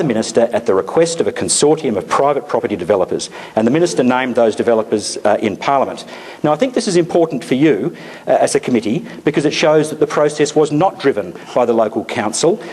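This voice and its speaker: The speech comes at a very fast pace with lively intonation. Noticeable background noise is present. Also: man. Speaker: politician. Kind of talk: public meeting speech.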